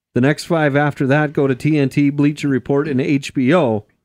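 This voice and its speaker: Recorded dry and close with no echo against a quiet background, a man talks at a medium pitch. He has an ordinary speaking voice. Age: 40s. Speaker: racing podcast host. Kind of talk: casual chat.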